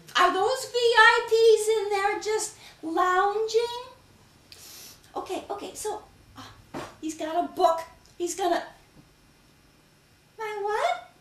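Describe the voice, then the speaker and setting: A woman's put-on character voice at an extremely high pitch, fairly slow in pace, with long, frequent pauses and a slight echo. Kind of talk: solo comedy stage performance.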